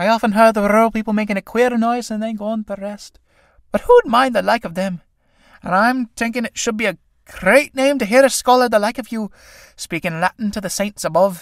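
Put-on character voice from a man, shrill and high-pitched, fairly quick with fairly even intonation, in a dry, close sound with no echo on a very clean recording with a silent background. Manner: coaxing, cheeky.

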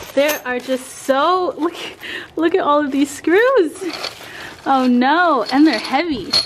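Light background noise sits under a woman's speech. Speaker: fitness vlogger. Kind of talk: casual vlog chat. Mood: playful, mildly overwhelmed. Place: garage. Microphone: phone near.

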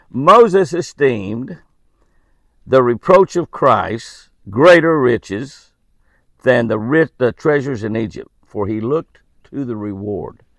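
A man talks at a slow pace with vocal fry. The sound is dry and close, with no echo. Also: medium pitch for a man, lively intonation.

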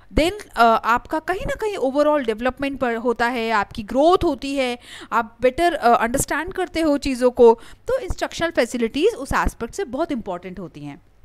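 The recording is dry and close with no echo, yet noticeable background noise comes through as a woman speaks high and with lively intonation. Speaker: online lecturer for exam preparation. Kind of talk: lecture. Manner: hesitant, many filler sounds.

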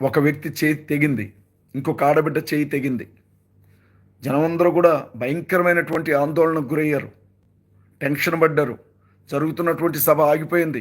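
The recording is very clean, with a silent background. Intonation runs fairly even. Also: man, fairly high pitch for a man. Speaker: pastor. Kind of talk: live stream address. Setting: live video stream.

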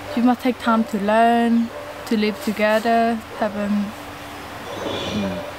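A woman with a fairly high pitch speaks at a fairly slow pace, flat and monotone, with long, frequent pauses. The sound is dry with no echo, though background noise is noticeable. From Cambodia. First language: Khmer. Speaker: co-host, vlogger's wife. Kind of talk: casual chat. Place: garden.

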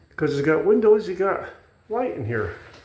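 Over light background noise, a man speaks with lively intonation and a somewhat breathy voice. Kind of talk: casual vlog chat. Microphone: phone near.

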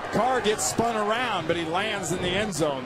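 Against music in the background, a man talks at a fairly slow pace with ordinary pitch variation. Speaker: color commentator. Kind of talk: live football color analysis. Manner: chatty, admiring analyst breaking down replays.

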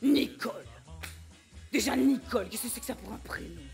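Clear background music behind a woman's moderately paced speech. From Belgium. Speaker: comedian. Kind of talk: stand-up comedy show. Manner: energetic, dynamic. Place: stage.

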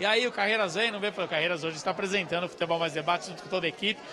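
A man's high, raised, projected voice at a very fast pace with fairly even intonation and noticeable background noise. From Brazil. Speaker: field reporter. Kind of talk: live on-location report. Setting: store opening event, on location. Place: shop. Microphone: handheld.

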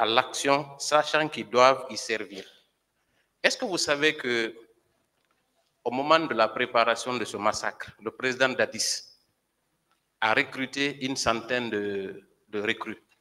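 Bright and sharp in tone, the voice moves at a very slow pace with ordinary pitch variation. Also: man. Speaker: civil party lawyer. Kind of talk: courtroom questioning. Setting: courtroom. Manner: formal. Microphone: podium.

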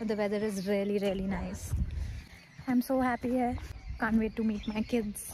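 The speaker keeps a moderate pace. The sound is dry with no echo, and there is noticeable background noise. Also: woman. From India, Chandigarh (Punjab region); Punjab, India. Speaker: lifestyle vlogger and influencer; lifestyle vlogger. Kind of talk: casual vlog narration. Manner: chatty, many fillers. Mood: cheerful, relaxed.

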